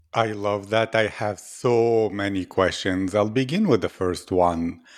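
This is an unremarkable speaking voice. It moves at a fairly slow pace with ordinary pitch variation. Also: man, quiet background. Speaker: podcast host. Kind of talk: interview. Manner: warm, effusive.

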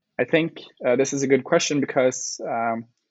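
A man in a Norwegian accent, with ordinary pitch variation. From Norway. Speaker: climate activist. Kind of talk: interview.

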